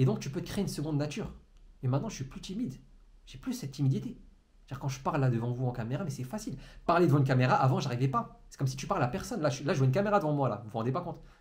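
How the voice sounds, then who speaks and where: A man talks at a very fast pace in a fairly high pitch, somewhat breathy, with lively intonation and big swings in loudness. Audible room echo surrounds his voice. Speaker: entrepreneurship coach. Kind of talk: motivational monologue to camera. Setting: alone in a room facing a camera. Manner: stumbles over words.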